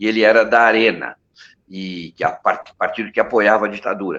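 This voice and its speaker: A man's medium-pitched voice with a bright, sharp tone at a fairly quick pace. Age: 70s. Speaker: advertising man, supporters' group founder. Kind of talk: interview, personal history. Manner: halting, many false starts.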